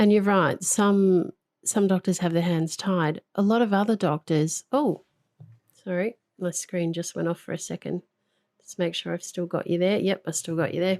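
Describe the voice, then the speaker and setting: With a plain, everyday voice, a woman speaks at medium pitch and a moderate pace, her intonation fairly even and the sound dry and close with no echo. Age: 40s. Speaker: podcast host and coach. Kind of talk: interview.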